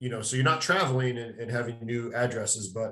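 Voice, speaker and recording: A very fast, somewhat breathy man's voice at medium pitch. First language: Portuguese. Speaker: podcast host. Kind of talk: podcast interview.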